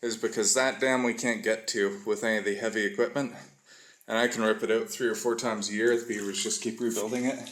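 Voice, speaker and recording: This man speaks at a moderate pace. He has a Western Canadian accent. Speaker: trapper. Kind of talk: outdoor vlog walkthrough. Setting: outdoors. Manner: slurred speech.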